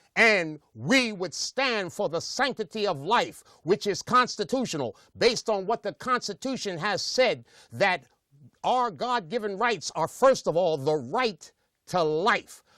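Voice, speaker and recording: A man's high-pitched, raised, projected voice at a fairly slow pace, dry and close with no echo, on a very clean recording with a silent background. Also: lively intonation. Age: 60s. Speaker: pastor. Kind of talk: speech. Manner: emphatic.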